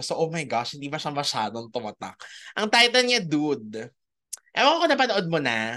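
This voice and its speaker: The speaker goes at a moderate pace. The background is quiet. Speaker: podcast host. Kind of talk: casual chat.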